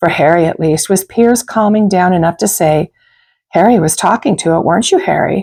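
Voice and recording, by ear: In a quiet background, the speaker is reading aloud in a natural voice.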